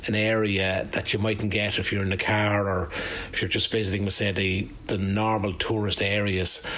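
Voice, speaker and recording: A man talks with an Irish accent at a fairly low pitch. Noticeable background noise is present. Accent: Irish, Carlow. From Ireland, County Carlow. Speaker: former football manager and cyclist. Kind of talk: radio interview.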